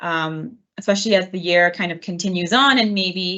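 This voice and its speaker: A woman talks at a moderate pace in an unremarkable speaking voice. Her pitch is medium, with ordinary variation. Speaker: dietitian. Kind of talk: webinar presentation. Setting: online webinar.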